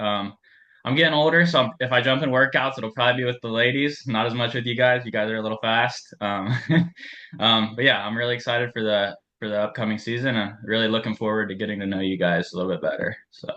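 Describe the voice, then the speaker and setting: Speaking very fast with a Midwestern American accent, a man uses a medium pitch and ordinary pitch variation. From western Ohio. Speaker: assistant running coach. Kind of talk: team meeting.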